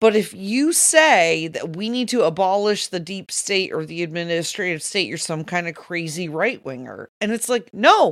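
A woman at medium pitch and moderate pace, lively intonation, an animated tone and hardly any pauses. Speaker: podcast co-host. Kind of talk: political commentary discussion. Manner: emotional, animated.

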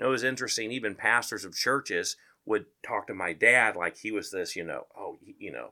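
A man speaks at a fairly quick pace with big swings in loudness on a very clean recording with a silent background. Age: 40s. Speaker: chaplain. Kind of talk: testimony.

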